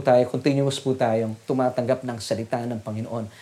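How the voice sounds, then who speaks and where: A man speaks at a fairly quick pace. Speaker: preacher. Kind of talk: sermon. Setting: online church service. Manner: animated, rallying the congregation with call-and-response; earnest, formal and polite, Taglish.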